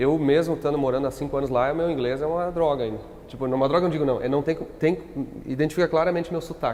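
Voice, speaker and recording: Speech comes at a very fast pace. There is noticeable background noise. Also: man, fairly high pitch for a man, fairly even intonation. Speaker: company founder. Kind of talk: podcast interview. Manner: hesitant, many fillers.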